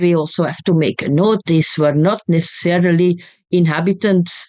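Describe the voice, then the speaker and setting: In a Flemish accent, a woman with a fairly low voice talks at a moderate pace, the sound dry and close with no echo. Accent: Flemish Dutch accent in English. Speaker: history professor. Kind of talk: interview.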